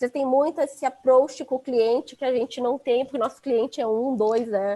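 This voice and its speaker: A woman's voice with a dark, mellow tone. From Rio Grande do Sul, southern Brazil. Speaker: head of innovation at a construction company. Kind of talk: casual chat.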